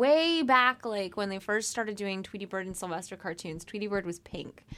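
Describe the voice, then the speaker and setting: The recording is very clean, with a silent background. A woman with a normal speaking voice talks at a fairly quick pace with ordinary pitch variation. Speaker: podcast host. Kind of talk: casual chat.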